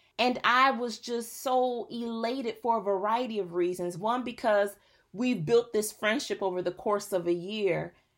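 A woman speaks at a moderate pace in a fairly high pitch with ordinary pitch variation, in a plain, everyday voice. The recording is very clean, with a silent background. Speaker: podcast host. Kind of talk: inspirational monologue.

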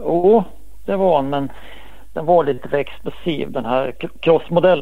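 Speech with lively intonation moves at a moderate pace while noticeable background noise carries on behind it. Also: man, fairly high pitch for a man. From Sweden, Västerås. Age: 50s. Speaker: former motocross and enduro champion. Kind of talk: interview.

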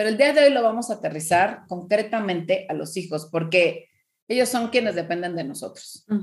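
A woman's medium-pitched, somewhat breathy voice at a moderate pace, with big swings in loudness. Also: lively intonation. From Mexico. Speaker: parenting coach. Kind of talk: podcast interview, advice talk.

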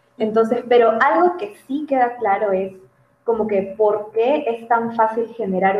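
A woman talks at a fairly slow pace in an ordinary speaking voice. Her pitch variation is ordinary. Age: 20s. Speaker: psychologist. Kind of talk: casual interview.

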